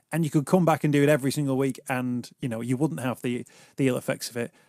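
Very fast speech from a man against a quiet background, dry with no echo. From Liverpool, England. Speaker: radio talk show host. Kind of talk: radio interview. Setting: radio studio. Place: studio. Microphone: studio mic.

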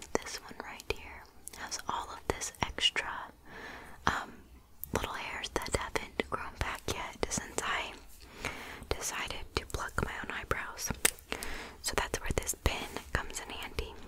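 A woman whispers at a fairly slow pace, with long, frequent pauses. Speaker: beauty vlogger. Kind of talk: casual makeup tutorial chat. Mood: relaxed, self-deprecating.

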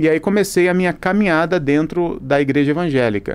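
A man with a fairly high pitch speaks at a moderate pace with lively intonation. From Brazil. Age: 30s. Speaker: pastor. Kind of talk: casual chat. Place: studio. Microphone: studio mic.

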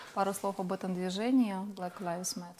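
Over light background noise, a woman speaks at a fairly low pitch with monotone, flat intonation. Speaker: TV host. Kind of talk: studio TV interview. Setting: TV studio. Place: studio. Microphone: lapel.

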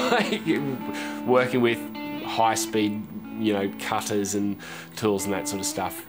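Clear music plays in the background while a man speaks. His pace is moderate and his pitch varies in an ordinary way. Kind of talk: interview answer. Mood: relaxed, friendly. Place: garage.

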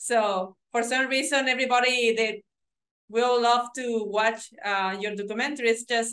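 A woman speaks in a plain, everyday voice at a moderate pace, with a fairly high pitch, fairly even intonation and a quiet background. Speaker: interview host. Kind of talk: interview question and comment. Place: home room. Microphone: video call.

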